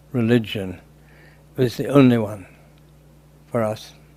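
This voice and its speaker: His pace is fairly slow. The man talks with a British accent. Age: 80s+. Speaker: convert to Islam who completed hajj. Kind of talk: interview answer.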